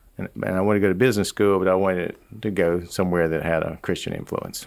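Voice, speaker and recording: In a strong Southern Georgia accent, a man talks with a very deep, low pitch and fairly even intonation on a very clean recording with a silent background. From US South, rural Georgia. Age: 60s. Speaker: business leader. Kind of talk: interview.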